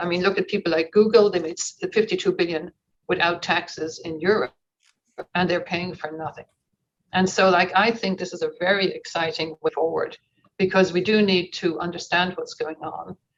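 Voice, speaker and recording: Speaking with an Irish accent, a woman talks at a fairly quick pace. Her pitch sits in the medium range. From Ireland. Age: 60s. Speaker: conference participant. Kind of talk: audience comment in online Q&A. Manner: animated.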